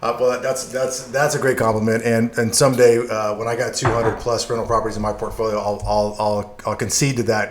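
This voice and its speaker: A man with an American accent at medium pitch, monotone and flat, fairly quick with hardly any pauses, over noticeable background noise. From Yuma, Arizona. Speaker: podcast host. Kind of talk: interview. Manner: fast.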